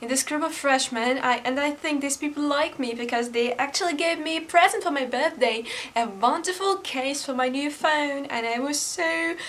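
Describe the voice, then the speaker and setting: This woman has a high pitch and a non-native accent. Her lively intonation moves at a moderate pace with hardly any pauses. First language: not English. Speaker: YouTuber. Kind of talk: casual vlog. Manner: halting.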